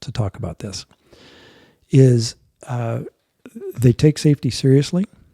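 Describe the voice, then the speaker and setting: In a dry, close sound with no echo, a man speaks with a somewhat breathy, dark, mellow tone. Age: 60s. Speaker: airline captain and mountaineer. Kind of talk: interview conversation.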